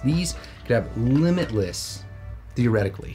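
There is faint music behind the speaker. The voice is a man's. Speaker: educational video host. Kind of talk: lecture. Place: studio.

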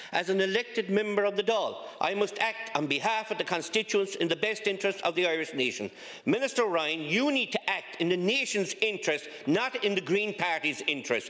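Fairly quick in pace, a man speaks at high pitch with ordinary pitch variation. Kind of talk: parliamentary question speech. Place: hall. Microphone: podium.

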